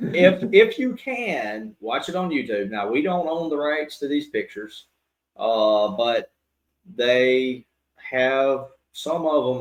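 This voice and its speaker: With a Southern US accent, a man speaks at a fairly slow pace using lively intonation. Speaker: podcast co-host, church boys' group teacher. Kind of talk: casual chat.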